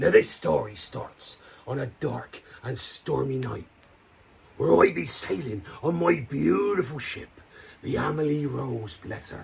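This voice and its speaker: Using a put-on character voice, a man talks at a fairly slow pace and medium pitch, with long, frequent pauses. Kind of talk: children's campfire storytelling. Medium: solo performance. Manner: hearty, theatrical, playful.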